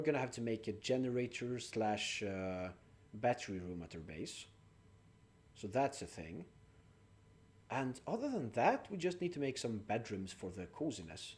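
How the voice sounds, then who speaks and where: At a moderate pace and with a non-native accent, the speaker makes very wide pitch swings, big swings in loudness and long, frequent pauses. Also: man. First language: not English. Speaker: game streamer. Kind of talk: live gameplay stream chat. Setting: live stream with chat.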